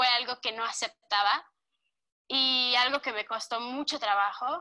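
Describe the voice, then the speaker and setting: A woman with a central Mexican accent speaks at a fairly slow pace in a high pitch with fairly even intonation. Her tone is bright and sharp, on a very clean recording with a silent background. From Mexico, Cuernavaca, Morelos. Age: 20s. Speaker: interviewee. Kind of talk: testimony.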